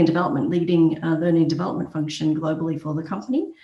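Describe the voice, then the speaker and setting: In an Australian accent, a woman with a fairly low voice talks with fairly even intonation over noticeable background noise. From Australia, Brisbane. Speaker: HR executive. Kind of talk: podcast interview. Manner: many fillers and hesitations.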